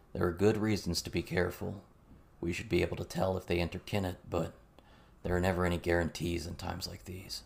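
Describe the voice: A put-on character voice with vocal fry and a slightly husky edge, fairly quick in pace with little pitch movement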